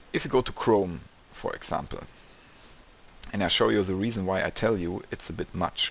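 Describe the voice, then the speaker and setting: At a moderate pace, a man with fairly low pitch and vocal fry speaks with fairly even intonation and long, frequent pauses. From Germany. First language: German. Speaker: e-commerce developer. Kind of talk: screen-share tutorial. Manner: casual, slightly halting non-native.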